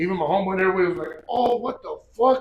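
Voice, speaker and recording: The voice is loud and animated, with ordinary pitch variation. It moves at a very fast pace. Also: man. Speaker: gym owner and strength athlete. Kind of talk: interview storytelling. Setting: gym.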